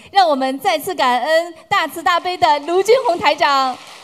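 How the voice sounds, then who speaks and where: Noticeable background noise accompanies a woman speaking. Her pace is fairly slow and her intonation lively. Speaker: event emcee. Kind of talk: formal announcement.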